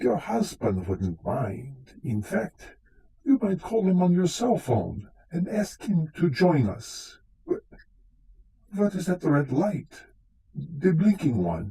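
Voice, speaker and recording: Using a put-on character voice, a man talks at a very slow pace with a high pitch. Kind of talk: live radio drama performance.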